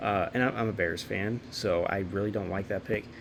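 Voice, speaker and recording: A man's normal speaking voice, fairly low in pitch. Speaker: sports YouTuber. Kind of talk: casual commentary. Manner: filler-heavy, repetitive.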